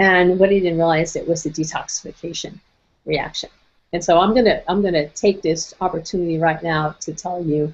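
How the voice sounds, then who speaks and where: The woman's fairly low pitch carries fairly even intonation at a fairly quick pace. Hers is an unremarkable speaking voice. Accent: American. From Brooklyn, New York. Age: 60s. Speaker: nutrition and wellness speaker. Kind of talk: webinar presentation. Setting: online webinar.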